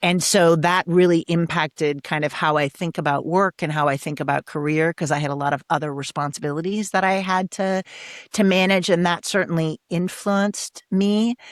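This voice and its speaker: In an American accent, a woman speaks in a plain, everyday voice at a fairly low pitch and a moderate pace, with ordinary pitch variation and hardly any pauses, in a very clean recording with a silent background and a dry, close sound with no echo. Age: 60s. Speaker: executive coach and author. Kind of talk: interview conversation.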